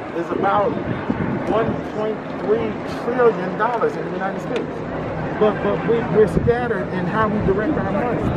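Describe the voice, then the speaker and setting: The speech moves at a moderate pace with long, frequent pauses. Loud background noise is present. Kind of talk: street debate. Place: street.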